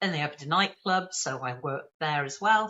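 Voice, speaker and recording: With a slight Birmingham accent, a woman speaks at a very deep, low pitch. Her pitch varies in an ordinary way. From England, Birmingham area. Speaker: training company leader. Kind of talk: interview. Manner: fast.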